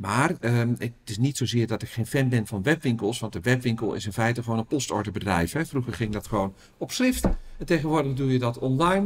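A man with a medium pitch and a somewhat breathy tone moves at a fairly quick pace, his intonation lively. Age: 50s. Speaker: retail researcher and business owner. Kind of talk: interview.

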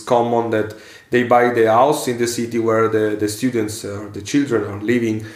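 In an Italian accent, a man talks at medium pitch with fairly even intonation. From central Italy, near Rome. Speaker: financial analyst and coach. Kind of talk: casual interview in second language.

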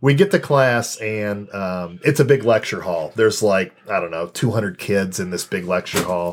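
Hardly any pauses break up a man's unremarkable speaking voice, fairly low in pitch, with an American accent, ordinary pitch variation and a moderate pace. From US Midwest, Champaign, Illinois. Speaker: amateur stand-up comedian. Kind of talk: casual interview chat.

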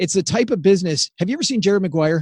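Against a quiet background, a man with an American accent talks very fast in a high voice, animated in tone with ordinary pitch variation and a dry, close sound with no echo. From US farm country. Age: 50s. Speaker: podcaster, former financial advisor. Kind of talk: interview.

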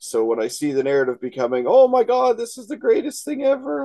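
A man talks at a fairly quick pace with a Canadian accent. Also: dry, close sound with no echo. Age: 30s. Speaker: wrestling podcast co-host. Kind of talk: casual chat.

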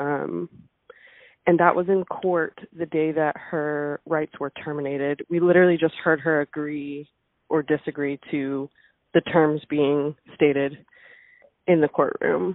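Her voice is very deep and low, with fairly even intonation. She talks at a fairly slow pace with long, frequent pauses. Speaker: daughter of a missing woman. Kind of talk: interview.

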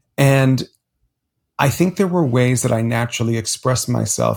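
A somewhat breathy man at medium pitch, at a fairly slow pace, on a very clean recording with a silent background. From US, Miami, Florida (Cuban-American). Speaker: public speaking coach, former stage actor. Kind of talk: interview. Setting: at home in bed.

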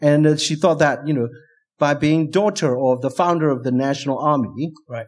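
This man speaks with a Burmese accent at a moderate pace. His pitch is fairly high, with ordinary variation. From Burma. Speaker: academic and human rights activist. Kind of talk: live interview. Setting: stage with audience.

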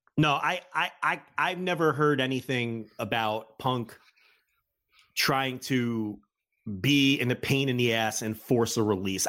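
A man speaks with an American accent in a bright, sharp tone at a medium pitch. Pitch variation is ordinary, and the recording is very clean with a silent background. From US Northeast (New Jersey). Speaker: wrestling journalist and podcaster. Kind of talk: casual chat.

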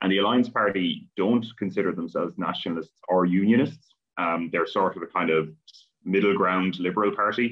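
A fairly low male voice at a fairly quick pace. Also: ordinary pitch variation. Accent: Irish. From Ireland. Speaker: academic, political commentator. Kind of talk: interview.

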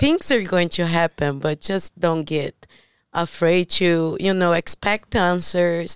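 A woman with a Brazilian accent speaks at a very slow pace, with a fairly low pitch, fairly even intonation and very even loudness, in a dry, close, very clean recording with a silent background. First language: Portuguese. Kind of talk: casual chat. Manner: halting.

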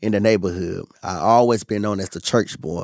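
A man with a normal speaking voice, fairly low pitch and ordinary pitch variation at a moderate pace, in a very clean recording with a silent background and a dry, close sound with no echo. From North Carolina. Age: 20s. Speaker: food reviewer and social media creator. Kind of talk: casual interview chat.

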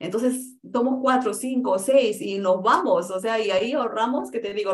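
Lively intonation marks this woman's speech. She talks at a moderate pace with a Peruvian accent. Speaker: real estate investor. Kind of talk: interview.

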